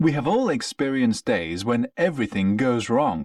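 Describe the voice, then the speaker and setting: In a very clean recording with a silent background and a dry, close sound with no echo, a man with a British accent speaks at a fairly high pitch, his voice swinging very widely in pitch. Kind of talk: textbook listening passage reading. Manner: clear, measured.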